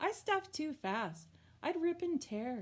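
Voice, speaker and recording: A woman puts on a squeaky character voice. It sits high in pitch, with very wide pitch swings. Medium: read story.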